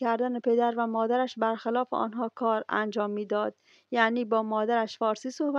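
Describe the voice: Straightforward reading out loud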